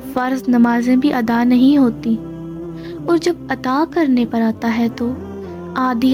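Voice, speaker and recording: A woman's high-pitched voice is heard with music in the background. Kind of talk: inspirational religious narration.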